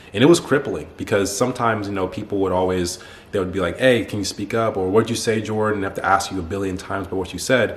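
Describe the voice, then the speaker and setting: With an American accent and a fairly low pitch, a man speaks at a very fast pace with ordinary pitch variation amid noticeable background noise. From United States. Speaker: YouTuber, athlete and self-improvement coach. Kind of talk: personal story monologue to camera. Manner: casual, informal.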